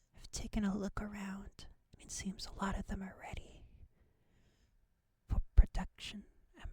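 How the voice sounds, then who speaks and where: Whispering at a fairly slow pace, a woman speaks. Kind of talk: ASMR gameplay narration, soft-spoken and relaxing. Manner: soft-spoken, whispering.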